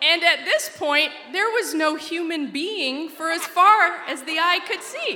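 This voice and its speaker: Amid audible room echo and noticeable background noise, a woman with an American accent projects a raised voice at an extremely high pitch and a fairly slow pace. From Alaska. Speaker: storyteller. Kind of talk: personal storytelling talk. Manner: animated.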